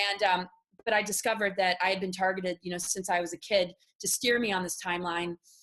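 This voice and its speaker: A woman speaks very fast in an American accent. Her pitch is medium, and her intonation stays flat and monotone. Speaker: spiritual speaker on secret space programs. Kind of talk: interview testimony. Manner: halting.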